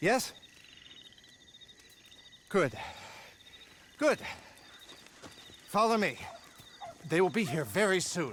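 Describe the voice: A man does a put-on character voice, high-pitched and fairly bright, with big swings in pitch. He talks very slowly, leaving long, frequent pauses.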